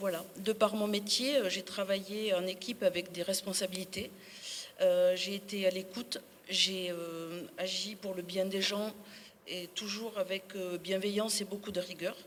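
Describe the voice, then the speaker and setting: Over noticeable background noise, a woman speaks at a fairly slow pace with monotone, flat intonation. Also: medium pitch for a woman. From Sarlat, Dordogne, France. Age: 60s. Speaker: municipal election candidate. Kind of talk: public speech.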